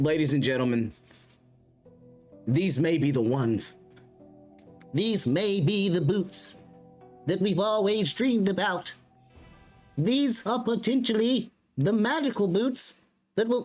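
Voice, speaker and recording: A man uses a put-on character voice, high in pitch, at a fairly slow pace with long, frequent pauses. Faint music sits in the background. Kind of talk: exaggerated showman. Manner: theatrical, excited.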